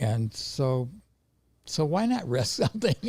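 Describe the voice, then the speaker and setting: A man with an American accent speaks at a fairly slow pace. His voice is medium in pitch, somewhat breathy, with a dark, mellow tone. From Montana, US. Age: 80s+. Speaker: veteran trader. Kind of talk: interview. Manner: halting.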